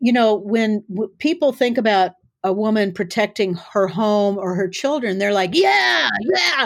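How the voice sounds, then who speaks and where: An unremarkable speaking voice with an American accent, at a fairly slow pace, on a very clean recording with a silent background. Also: woman, medium pitch for a woman. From US Midwest, South Dakota. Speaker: author and self-defense teacher. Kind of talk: interview conversation.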